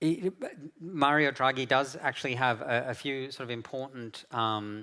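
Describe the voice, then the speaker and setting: A man with an Australian accent talks at a moderate pace, his medium pitch rising and falling in an ordinary way. His tone is bright and sharp, and the recording is very clean with a silent background. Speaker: keynote speaker from an international policy organization. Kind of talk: conference keynote talk. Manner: halting, many fillers and repetitions.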